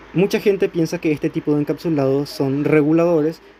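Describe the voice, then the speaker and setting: In a dark, mellow tone, a man with a fairly high pitch talks at a moderate pace. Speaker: electronics tutorial youtuber. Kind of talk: tutorial. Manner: halting, self-correcting.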